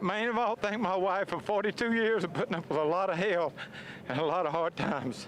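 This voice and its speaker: With a Southern US accent, a man talks in a raised, projected voice. Noticeable background noise is present. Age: 60s. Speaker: drag racing driver. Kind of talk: post-race interview.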